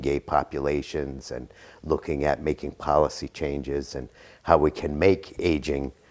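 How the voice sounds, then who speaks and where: A man talks with vocal fry in a very deep, low pitch. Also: very clean recording, silent background. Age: 60s. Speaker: college professor and social worker. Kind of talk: interview. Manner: halting, many fillers.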